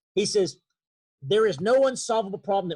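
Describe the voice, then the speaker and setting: A man talks with an East Texas accent and lively intonation. The sound is dry and close, with no echo. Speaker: leadership trainer. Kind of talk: webinar talk. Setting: video call. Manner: halting.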